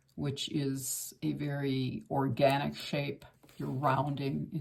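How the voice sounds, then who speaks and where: A woman's very deep, low voice with vocal fry, at a very slow pace. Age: 60s. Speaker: art instructor. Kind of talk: tutorial. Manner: casual, conversational with fillers.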